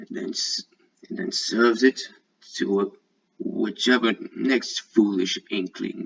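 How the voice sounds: The delivery is a natural reading voice with ordinary pitch variation. The background is quiet.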